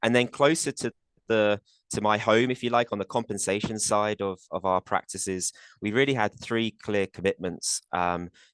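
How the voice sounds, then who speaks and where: Recorded dry and close with no echo over a quiet background, a man with a British accent and a fairly low pitch talks at a moderate pace with fairly even intonation. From UK. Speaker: corporate compensation executive. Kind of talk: webinar panel talk. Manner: hesitant, many fillers and repeats.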